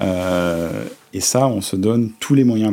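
A man speaks in a dark, mellow tone, with ordinary variation in his pitch. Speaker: company director. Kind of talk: interview. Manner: hesitant with many fillers.

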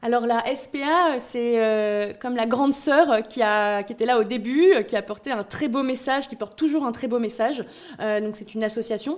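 A female speaker with a high pitch keeps to a fairly slow pace, her pitch varying in an ordinary way. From southern France. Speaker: startup founder. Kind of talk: pitch interview.

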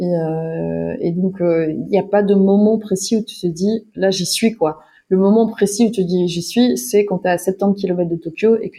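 With a dark, mellow tone at medium pitch, a woman speaks at a fairly slow pace and fairly even intonation. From Wallonia, southern Belgium. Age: 30s. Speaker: filmmaker and cyclist. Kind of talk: interview. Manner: halting.

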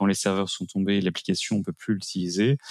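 Here a man talks at a fairly low pitch. The recording is very clean, with a silent background. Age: 40s. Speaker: IT managed-services business owner. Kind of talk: interview. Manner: hesitant, frequent fillers.

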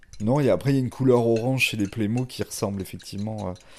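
A man's fairly low voice with ordinary pitch variation against a quiet background. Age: 50. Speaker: chef. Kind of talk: casual chat. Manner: hesitant, many fillers.

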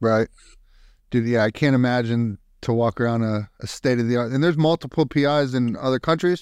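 An ordinary speaking voice from a man with an American accent, medium pitch and ordinary pitch variation, fairly quick pace and very even loudness, dry, close sound with no echo against a quiet background. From Youngstown, Ohio. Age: 40s. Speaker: podcast host, Air Force veteran. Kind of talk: casual interview. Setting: video call.

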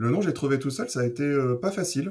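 This man's voice has a dark, mellow tone. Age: 40s. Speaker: wine shop owner. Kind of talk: interview.

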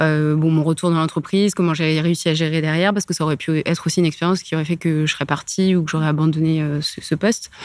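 Noticeable background noise sits behind a woman speaking fairly quickly at a very deep, low pitch in a monotone, flat way. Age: 30s. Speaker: corporate lawyer. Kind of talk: casual interview.

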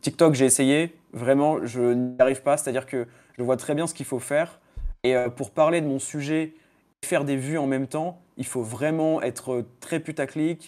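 Speaking fairly slowly, a man with a fairly high pitch and a dark, mellow tone keeps his intonation fairly even on a very clean recording with a silent background. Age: 20s. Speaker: freelance SEO consultant. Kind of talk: casual chat.

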